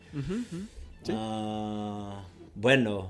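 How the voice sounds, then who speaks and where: Here a man talks at a medium pitch. The recording is very clean, with a silent background. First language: Portuguese (speaking Spanish). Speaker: football coach and podcast co-host. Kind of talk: casual chat. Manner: halting, many repetitions.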